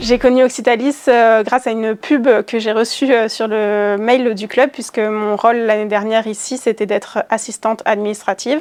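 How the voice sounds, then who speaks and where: The speaker has a plain, everyday voice. Delivery comes at a fairly slow pace with fairly even intonation. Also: woman. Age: 20s. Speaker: student event project manager at a sports club. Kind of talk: interview testimony. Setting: sports gymnasium.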